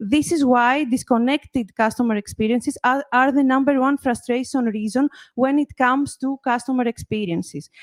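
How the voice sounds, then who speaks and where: With a Greek accent, a woman speaks at a high pitch. Her intonation is fairly even. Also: moderate pace, dry, close sound with no echo. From Greece. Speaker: marketing executive. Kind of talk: conference presentation.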